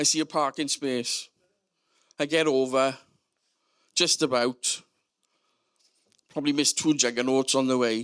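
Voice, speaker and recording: With a South Wales Valleys accent, a man speaks at a fairly high pitch in monotone, flat intonation, the sound dry and close with no echo. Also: quiet background. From Wales, South Wales Valleys. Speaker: storyteller. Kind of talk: comedic storytelling.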